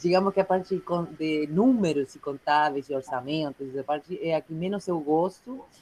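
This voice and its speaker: Speaking at a moderate pace with an Uruguayan accent, a woman shows ordinary pitch variation in a dry, close sound with no echo. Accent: Uruguayan accent in Portuguese, noticeable. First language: Spanish (speaking Portuguese). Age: 30s. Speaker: clown and juggler, workshop participant. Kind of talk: self-introduction in online workshop. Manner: hesitant, many fillers.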